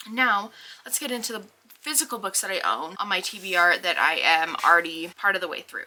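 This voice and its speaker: A woman's medium-pitched voice with very wide pitch swings at a fairly quick pace, over noticeable background noise. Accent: American. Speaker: book vlogger. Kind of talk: casual vlog talk. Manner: chatty, with fillers.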